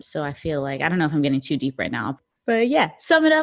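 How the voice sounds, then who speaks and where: A New York accent carries the speech. The background is silent and the recording very clean. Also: woman. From New York City, the Bronx. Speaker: actress. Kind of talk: casual chat.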